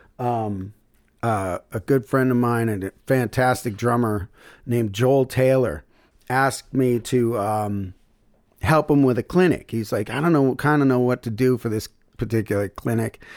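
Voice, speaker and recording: On a very clean recording with a silent background, a man speaks in an ordinary speaking voice at a medium pitch with ordinary pitch variation. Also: moderate pace. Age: 50s. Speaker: blues musician and bandleader. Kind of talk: casual interview chat.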